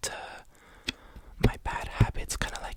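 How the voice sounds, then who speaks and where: Whispering in a relaxed tone over noticeable background noise. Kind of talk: ASMR talk to camera, relaxed chatty monologue. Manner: soft-spoken, relaxed, casual.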